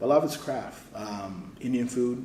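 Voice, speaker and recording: A man speaks in an animated tone. There is audible room echo. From Houston, Texas (born in Saudi Arabia, moved to US 1998). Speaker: cooking show contestant, home cook and content creator. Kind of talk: casual chat. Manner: casual, slangy, animated.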